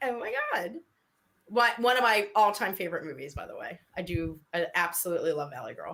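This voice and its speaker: Speaking fairly quickly with a slight New York accent, a woman uses a medium pitch and an animated tone. Her intonation is lively, and her loudness swings widely. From New York area, US Northeast. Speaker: livestream co-host. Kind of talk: casual chat.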